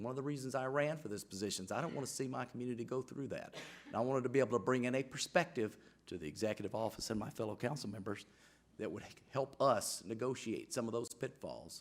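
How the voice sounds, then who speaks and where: With an Alabama accent, a man talks very fast at a medium pitch with ordinary pitch variation. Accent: Southern US (Alabama). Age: 60s. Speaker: city council member. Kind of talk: council meeting speech. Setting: council chamber, microphone. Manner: halting, repeats words.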